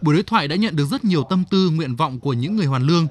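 This man's fairly high voice is somewhat breathy and carries lively intonation. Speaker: TV news anchor. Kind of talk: news reading. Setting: studio. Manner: formal.

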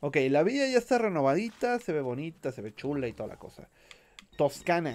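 In a Mexican accent, a man talks at a moderate pace and fairly high pitch. His tone is animated, with very wide pitch swings and big shifts in loudness. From Mexico. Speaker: gaming streamer. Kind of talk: live gameplay commentary. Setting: live stream.

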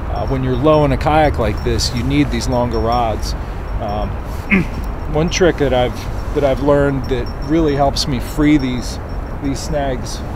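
Noticeable background noise surrounds a fairly slow voice with a dry sound and no echo. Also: man. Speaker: fishing instructor. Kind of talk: tutorial. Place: waterside. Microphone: camera far.

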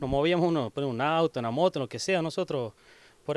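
Dry and free of echo, a man's fairly high voice moves very fast with ordinary pitch variation. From Argentina, Catamarca (Oyola); Catamarca, Argentina. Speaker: community activist. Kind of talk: interview; interview answer. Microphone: handheld.

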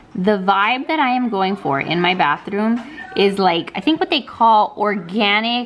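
A woman speaks at a fairly slow pace with lively intonation. Music plays in the background. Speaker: lifestyle vlogger. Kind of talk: casual vlog chat. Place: home room. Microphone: phone near.

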